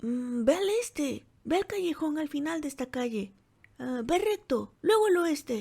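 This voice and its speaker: Using a put-on character voice, a woman speaks in a high pitch at a moderate pace. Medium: read story. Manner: brash, careless, commanding.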